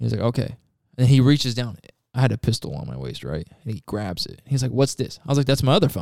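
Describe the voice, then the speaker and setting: Very fast and full of vocal fry, a man speaks at a medium pitch with a Pacific Northwest accent. His intonation is lively, with big swings in loudness. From Washington State, near Tacoma. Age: 20s. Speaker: warehouse operations manager. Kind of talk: casual interview.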